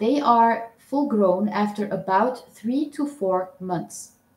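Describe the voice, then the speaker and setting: A woman with a non-native accent and a fairly high pitch speaks at a very slow pace with lively intonation. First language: not English. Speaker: owl keeper vlogger. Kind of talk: live stream chat. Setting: live stream. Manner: hesitant, many fillers.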